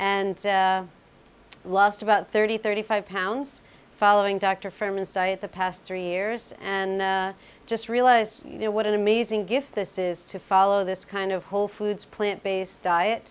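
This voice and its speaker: At a moderate pace, a woman with a medium pitch speaks in a monotone, flat intonation. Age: 50s. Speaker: patient giving a testimonial. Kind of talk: testimony. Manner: hesitant, many fillers.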